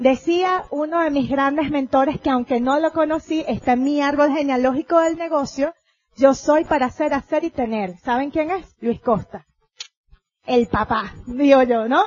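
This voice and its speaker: With a Venezuelan accent, a woman speaks in an animated tone at a fairly slow pace, using a high pitch and ordinary pitch variation. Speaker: motivational speaker, network marketing leader. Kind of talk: convention talk.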